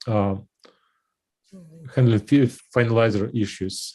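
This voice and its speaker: A man's fairly low, somewhat breathy voice with a dark, mellow tone and fairly even intonation, against a quiet background. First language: not English. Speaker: software developer. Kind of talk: technical meeting discussion. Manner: halting.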